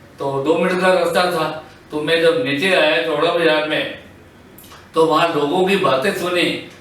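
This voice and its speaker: A man speaks at a high pitch with fairly even intonation. Room echo and background noise are both noticeable. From Punjab, India (Ludhiana). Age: 70s. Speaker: partition witness. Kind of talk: testimony.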